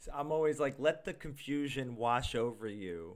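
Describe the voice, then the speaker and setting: On a very clean recording with a silent background, a man has an unremarkable speaking voice. He speaks at a fairly slow pace and a medium pitch. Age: 30s. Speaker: podcast co-host. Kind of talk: casual chat.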